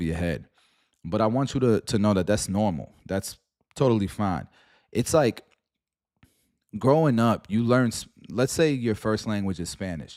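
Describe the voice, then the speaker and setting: On a very clean recording with a silent background, a man with a fairly low pitch speaks at a moderate pace with lively intonation and long, frequent pauses. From New York, Puerto Rican family. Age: middle-aged. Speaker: stock market streamer. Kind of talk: live stream commentary. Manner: casual, slangy.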